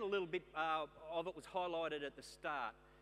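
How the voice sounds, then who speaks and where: A man's high-pitched voice with an Australian accent. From Queensland, Australia. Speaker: keynote speaker, former police detective. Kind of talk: keynote talk. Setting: stage with audience.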